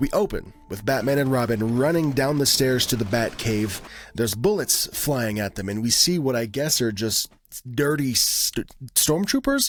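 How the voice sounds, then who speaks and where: A man at a medium pitch with an animated tone and lively intonation, moderate in pace, over noticeable background noise. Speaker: YouTube TV recap creator. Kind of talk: casual commentary recap. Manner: animated, casual.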